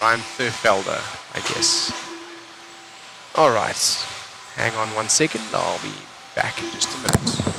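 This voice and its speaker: Over background music and audible room echo, a man talks at a fairly slow pace with long, frequent pauses. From South Africa, Cape Town. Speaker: RC race commentator. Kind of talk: live commentary; casual chat with viewers. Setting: live stream.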